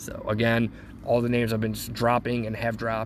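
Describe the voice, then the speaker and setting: Talking at a moderate pace, a man with an American accent keeps his intonation monotone and flat. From US Midwest, Cleveland, Ohio. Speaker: podcast host. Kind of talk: casual sports talk monologue. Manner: halting, with pauses.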